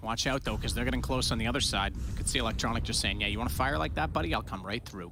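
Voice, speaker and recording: The man rattles along at a very fast pace, his voice carrying audible room echo over noticeable background noise. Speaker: esports commentator. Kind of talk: live commentary.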